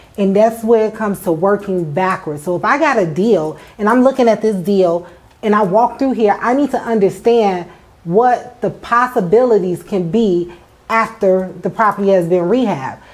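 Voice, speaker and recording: A woman at a moderate pace with ordinary pitch variation. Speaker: real estate investor host. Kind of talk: tutorial. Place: empty room. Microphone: lapel.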